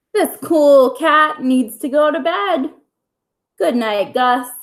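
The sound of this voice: A woman's put-on character voice, high-pitched and slow. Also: lively intonation.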